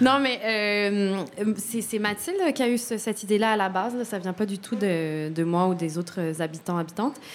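A woman talks at a moderate pace with hardly any pauses. Her pitch is medium and varies in an ordinary way. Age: 30s. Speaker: documentary subject, former tenant. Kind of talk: radio interview.

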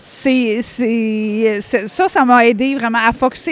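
A woman's high-pitched voice shows ordinary pitch variation against noticeable background noise. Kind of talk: casual interview chat. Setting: at world championships in Ireland.

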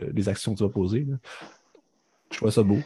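With a Quebec accent, a man talks at a medium pitch in a dark, mellow tone with fairly even intonation. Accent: Québécois French. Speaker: film podcast co-host. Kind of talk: casual chat.

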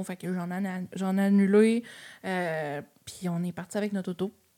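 Her voice is dark and mellow, medium in pitch, delivered in a monotone, flat intonation at a fairly slow pace. The recording is very clean, with a silent background. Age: 20s. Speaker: travel agency owner. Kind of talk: casual chat.

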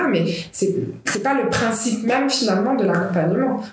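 A woman talks at a moderate pace in a space with audible room echo and noticeable background noise. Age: 30s. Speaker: clinical psychologist, co-founder of a domestic violence support association. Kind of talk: interview.

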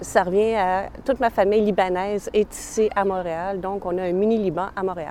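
This woman has a plain, everyday voice at medium pitch. She keeps a moderate pace with fairly even intonation and hardly any pauses. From Montreal, Quebec. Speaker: interviewee sharing personal story. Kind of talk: personal testimony.

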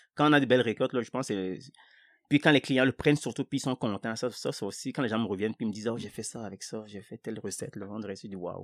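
In a very clean recording with a silent background and a dry, close sound with no echo, a man with a West African accent talks at a very fast pace and medium pitch, with ordinary pitch variation and big swings in loudness. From Togo, Lomé. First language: Ewe (speaking French). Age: 40s. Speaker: market gardener. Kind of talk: casual chat.

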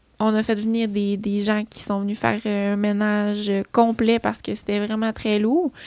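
In a Quebec accent, a woman speaks with monotone, flat intonation. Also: medium pitch for a woman. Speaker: beauty entrepreneur. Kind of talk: casual chat.

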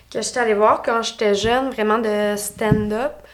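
Speaking fairly slowly in a Quebec accent, a woman keeps a fairly high pitch and fairly even intonation. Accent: Québécois French. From Quebec (Lanaudière). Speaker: stand-up comedian. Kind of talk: casual chat. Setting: studio.

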